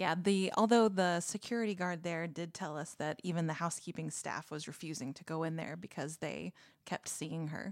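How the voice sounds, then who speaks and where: A woman speaks in a plain, everyday voice at a fairly low pitch and a moderate pace, with ordinary pitch variation. Hardly any pauses break her speech, and her loudness swings widely. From Texas. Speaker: podcast co-host. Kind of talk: casual chat.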